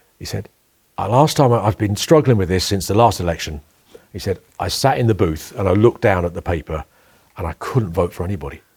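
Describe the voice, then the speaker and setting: A man with a very deep, low pitch and a somewhat breathy voice speaks with lively intonation. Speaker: leader of a small political party. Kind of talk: casual interview chat.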